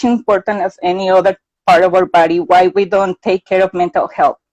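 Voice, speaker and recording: The sound is dry and close, with no echo. A woman with a Mexican accent speaks at a moderate pace. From Mexico. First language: Spanish. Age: 30s. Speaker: mental health advocate. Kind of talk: interview.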